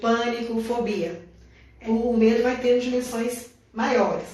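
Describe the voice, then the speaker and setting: Audible room echo surrounds a woman with a fairly high pitch. She speaks in a monotone, flat intonation. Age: 70s. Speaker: biodanza school director. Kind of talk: live stream interview.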